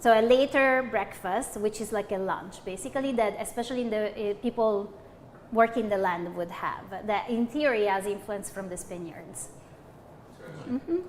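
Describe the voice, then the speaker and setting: A woman speaks at a fairly high pitch with ordinary pitch variation. She keeps a moderate pace with long, frequent pauses. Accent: Italian. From Italy, Abruzzo (Pescara). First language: Italian. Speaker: linguistics professor. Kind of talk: cooking show chat. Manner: hesitant, many fillers.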